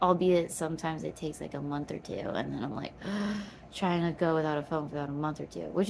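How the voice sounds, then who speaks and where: Noticeable background noise under a very fast delivery. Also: woman. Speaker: vlogger. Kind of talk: casual monologue vlog. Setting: home basement. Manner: rambling, fast.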